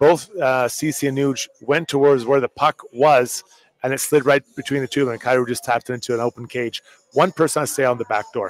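A normal speaking voice at a fairly quick pace, with fairly even intonation and a dry, close sound with no echo. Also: man, medium pitch for a man. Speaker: hockey analyst, former player. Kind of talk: live postgame sports talk. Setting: live at a bar with crowd.

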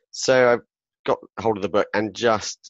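A man speaks at a fairly slow pace in a southern English accent. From southern England, Southampton. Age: 40s. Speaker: author and public speaker. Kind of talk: interview conversation.

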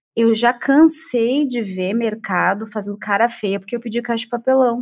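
A woman with a plain, everyday voice speaks at a fairly high pitch. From Porto Alegre, southern Brazil. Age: 40s. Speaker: psychologist and researcher. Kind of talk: panel discussion.

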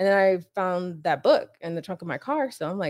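A woman's medium-pitched voice at a moderate pace, on a very clean recording with a silent background. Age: 30s. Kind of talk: casual chat.

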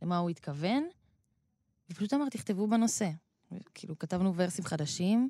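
With a dark, mellow tone and medium pitch, a woman speaks at a moderate pace with lively intonation. She leaves long, frequent pauses. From Israel, Rehovot. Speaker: rapper. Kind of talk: interview.

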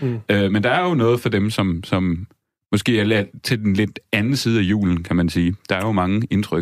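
A man's normal speaking voice, fairly low in pitch with ordinary variation, at a moderate pace. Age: 30s. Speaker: music critic and writer. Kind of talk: casual chat.

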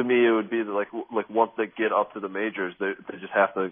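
This man talks at a fairly quick pace. He speaks with an American accent. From Michigan, US Midwest. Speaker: sports journalist. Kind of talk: radio interview. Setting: phone call. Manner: halting, many fillers.

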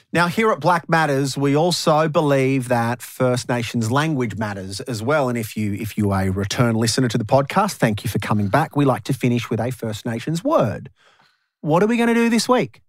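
With an Australian accent, a man talks at a fairly quick pace, medium in pitch and lively in intonation. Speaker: radio host and podcast host. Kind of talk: casual chat. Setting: studio. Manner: animated.

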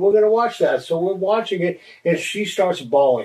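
A man talks at a fairly quick pace in an American accent. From Los Angeles, US West Coast (born Boston). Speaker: ministry leader, former addict. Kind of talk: testimony.

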